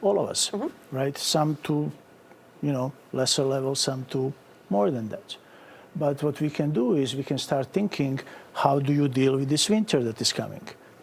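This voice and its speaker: In a Bosnian accent, a man with a fairly high, somewhat breathy voice speaks at a moderate pace with ordinary pitch variation and long, frequent pauses. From Bosnia and Herzegovina. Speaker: psychiatrist. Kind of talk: TV interview answer.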